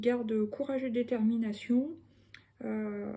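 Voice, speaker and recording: A woman's high-pitched voice in a flat monotone. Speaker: tarot card reader. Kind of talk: tarot reading. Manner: casual, hesitant with fillers.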